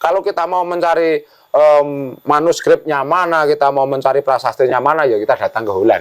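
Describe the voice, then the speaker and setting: Fairly quick speech from a man, fairly high-pitched, with pitch moving in an ordinary way. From Java, Yogyakarta. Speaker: village head. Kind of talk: podcast interview. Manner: hesitant, many fillers.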